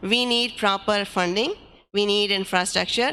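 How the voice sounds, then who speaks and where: Speaking at a moderate pace with a non-native accent, a woman keeps a medium pitch and fairly even intonation, her tone bright and sharp with vocal fry. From Pakistan. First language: not English. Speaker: community commission chair. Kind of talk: public meeting chairing. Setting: church hall meeting.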